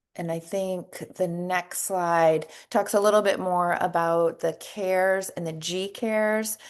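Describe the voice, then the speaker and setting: Against a quiet background, a woman talks in a plain, everyday voice. Her pitch is fairly low and her intonation fairly even. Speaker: nursing educator. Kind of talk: webinar presentation.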